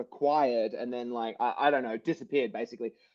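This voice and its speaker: A man with a Sydney accent talks at a very fast pace. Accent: Australian (Sydney northern beaches). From Australia. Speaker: motivational speaker and author. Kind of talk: podcast interview. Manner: halting, many restarts; animated.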